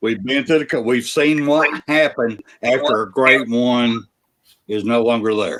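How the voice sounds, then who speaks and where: A man with an Alabama accent speaks at a fairly slow pace and medium pitch, with ordinary pitch variation. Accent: US Southern (Alabama). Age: 60s. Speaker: sports podcast host. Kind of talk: casual chat. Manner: animated.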